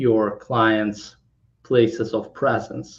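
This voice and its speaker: A man speaks at medium pitch in a monotone, flat intonation. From Kazakhstan, then Poland. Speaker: tech startup founder. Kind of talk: interview. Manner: halting, many fillers.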